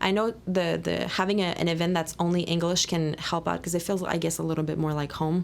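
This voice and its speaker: A woman's fairly low voice in a Quebec accent, with monotone, flat intonation. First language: French. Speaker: podcast host, volunteer coordinator. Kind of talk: casual interview chat.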